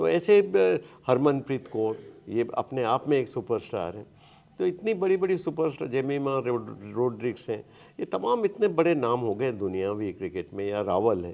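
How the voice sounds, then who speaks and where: A man at a medium pitch has a dark, mellow tone and very wide pitch swings. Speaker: veteran Hindi cricket commentator. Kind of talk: interview answer. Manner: conversational, storytelling.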